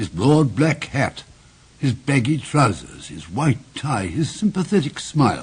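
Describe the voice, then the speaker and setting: Somewhat breathy, fairly high-pitched male speech. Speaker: actor. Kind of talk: narration.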